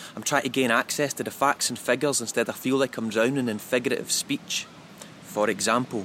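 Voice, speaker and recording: There is noticeable background noise as a man speaks with a Scottish accent at a moderate pace. His medium-pitched voice keeps fairly even intonation. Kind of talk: spoken poem.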